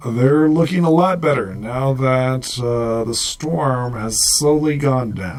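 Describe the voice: The pitch varies in an ordinary way through this plain reading aloud.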